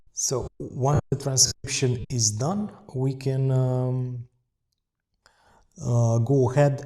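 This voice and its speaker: A man with a non-native accent, medium pitch and a somewhat breathy, dark, mellow tone. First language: not English. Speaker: software demo presenter. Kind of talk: software tutorial demo. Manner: hesitant, many fillers.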